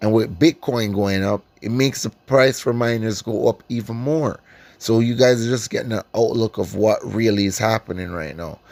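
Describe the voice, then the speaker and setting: A man with a Caribbean accent speaks at a moderate pace on a very clean recording with a silent background and a dry, close sound with no echo. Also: medium pitch for a man, ordinary pitch variation. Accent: Caribbean island. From Caribbean islands. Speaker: stock investing YouTuber. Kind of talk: casual stock analysis vlog. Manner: casual, filler-heavy with frequent ums.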